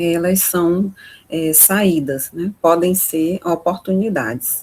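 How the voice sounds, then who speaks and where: Her voice is somewhat breathy and medium in pitch for a woman. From Maranhão, Brazil (Imperatriz). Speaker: course instructor. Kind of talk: online lecture.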